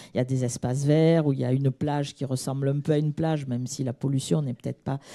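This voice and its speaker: Speaking at a fairly quick pace in a southern French accent, a woman has a dark, mellow tone on a very clean recording with a silent background. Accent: southern French (Midi). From southern France (Midi). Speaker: audience member asking a question. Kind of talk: audience question at a conference. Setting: conference hall, audience microphone. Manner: hesitant, many fillers.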